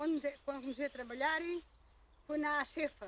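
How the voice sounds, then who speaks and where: Here a woman has a high pitch. She keeps a moderate pace. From Alentejo, Portugal (Évora area). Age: 80s+. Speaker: retired farm worker. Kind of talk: oral history interview.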